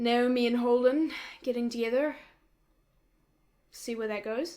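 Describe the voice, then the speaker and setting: A woman speaks with a New Zealand accent. Her pitch sits fairly high. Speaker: YouTube reaction creator. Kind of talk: casual reaction commentary. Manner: casual, hesitant with fillers.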